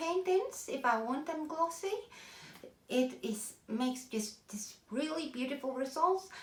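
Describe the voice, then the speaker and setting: A woman speaks fairly slowly in a Norwegian accent at a high pitch. Room echo is audible. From Norway. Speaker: artist. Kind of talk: tutorial. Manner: halting.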